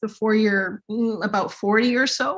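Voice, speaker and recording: With a Canadian accent, a normal speaking voice keeps a moderate pace in a very clean recording with a silent background. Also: woman. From Manitoba, Canada (Winnipeg). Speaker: linguist, Cree literacy director. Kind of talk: Q&A answer.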